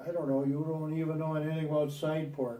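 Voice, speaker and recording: A man with a fairly high pitch and an American accent, monotone and flat in intonation, with audible room echo. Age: 80s+. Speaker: grandfather recording a family legacy video. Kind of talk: family oral history interview. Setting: at home on a couch, recorded on video. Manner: halting.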